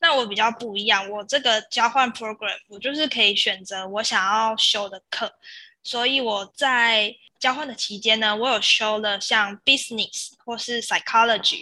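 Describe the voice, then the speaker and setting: A woman with a Taiwanese accent, fairly high pitch and a bright, sharp tone, at a fairly slow pace with fairly even intonation and big swings in loudness, in a very clean recording with a silent background. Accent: Taiwanese Mandarin. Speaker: former exchange student. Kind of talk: interview.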